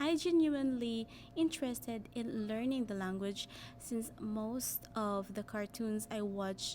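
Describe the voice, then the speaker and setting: Speaking very slowly with a Filipino accent, a woman uses a fairly high pitch and ordinary pitch variation. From Philippines, Cebuano-speaking region. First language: Cebuano. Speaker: language learner sharing her story. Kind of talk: personal narrative, semi-scripted.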